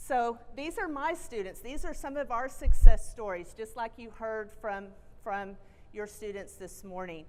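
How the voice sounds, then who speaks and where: Fairly high-pitched and in a Texan accent, a woman talks fairly slowly with lively intonation and big swings in loudness. Audible room echo is present. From Texas. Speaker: college president. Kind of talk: keynote speech. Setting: stage with audience.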